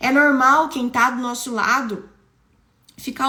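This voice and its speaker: A woman's raised, projected voice rings out at a high pitch, animated and bright, sharp in tone. Audible room echo surrounds it. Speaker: preacher. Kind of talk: sermon. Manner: conversational.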